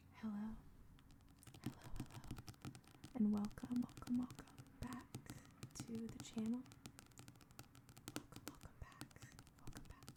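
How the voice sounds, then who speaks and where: Whispering at a very slow pace, with long, frequent pauses and big swings in loudness. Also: woman. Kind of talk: casual talk to camera. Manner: soft-spoken.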